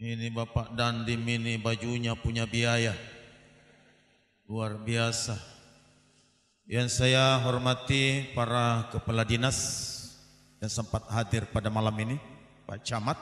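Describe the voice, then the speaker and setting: Very slowly, a medium-pitched man speaks with long, frequent pauses. His intonation stays monotone and flat. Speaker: Islamic preacher. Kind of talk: sermon.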